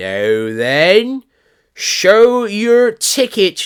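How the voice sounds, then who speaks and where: A put-on character voice at a fairly high pitch on a very clean recording with a silent background. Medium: read story. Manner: curt, authoritative.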